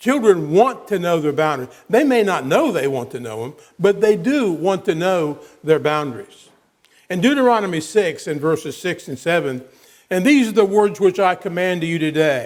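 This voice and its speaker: A man talks at a moderate pace and a high pitch. His pitch swings very widely. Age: 70s. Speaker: preacher. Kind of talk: sermon. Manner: halting, many repetitions.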